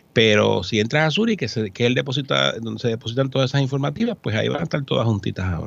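The voice races at a very fast pace with hardly any pauses and lively intonation. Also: man, medium pitch for a man. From Puerto Rico, San Juan. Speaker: accountant. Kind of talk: radio interview. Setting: studio.

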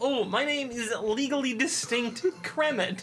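A put-on character voice with fairly high pitch moves at a fairly slow pace. Background noise is clearly heard. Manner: playful.

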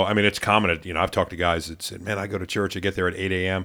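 With an American accent, the speaker goes at a very fast pace and fairly even intonation on a very clean recording with a silent background. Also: man. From Maryland, US. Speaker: pastor. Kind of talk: casual chat.

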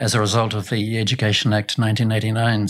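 Speaking very fast, a man with a New Zealand accent keeps a fairly low pitch. His intonation is monotone and flat. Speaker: education executive. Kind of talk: interview. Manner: hesitant, many fillers.

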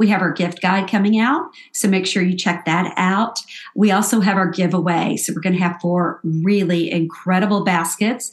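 A woman keeps fairly even intonation at a moderate pace while noticeable noise plays in the background. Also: medium pitch for a woman, very even loudness. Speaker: podcast co-host. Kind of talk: casual chat.

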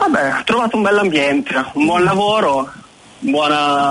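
A man talks at a fairly slow pace with lively intonation. Noticeable background noise runs under his voice. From northern Italy, Milan. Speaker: web designer. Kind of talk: radio interview.

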